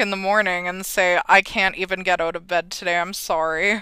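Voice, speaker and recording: Recorded very cleanly over a silent background, a woman with a Canadian accent talks at a fairly quick pace in a bright, sharp tone with fairly even intonation. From Alberta, Canada. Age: 20s. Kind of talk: interview.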